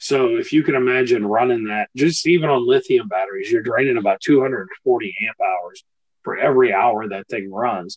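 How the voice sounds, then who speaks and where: With ordinary pitch variation, a man of medium pitch talks at a moderate pace. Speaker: solar company host. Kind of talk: casual podcast chat. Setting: live stream, remote guest. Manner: hesitant, filler-heavy.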